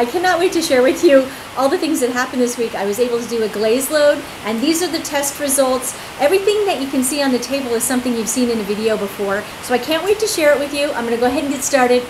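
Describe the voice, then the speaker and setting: Over noticeable background noise, a woman speaks very fast in a high pitch, her intonation lively. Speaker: hobby potter host. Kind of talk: casual vlog chat. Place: workshop. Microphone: camera far.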